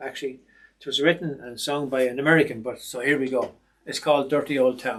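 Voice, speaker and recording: Rattling along at a very fast pace, a man with an Irish accent and a fairly high pitch speaks in a monotone, flat intonation. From Ireland. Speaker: retired soldier and sewing machine technician. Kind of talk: casual self-introduction. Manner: hesitant, with fillers.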